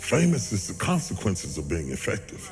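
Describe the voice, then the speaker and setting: A man talks at a moderate pace with an American accent. Music plays in the background. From West Virginia, USA. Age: 60s. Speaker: preacher. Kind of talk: speech to an audience, personal testimony.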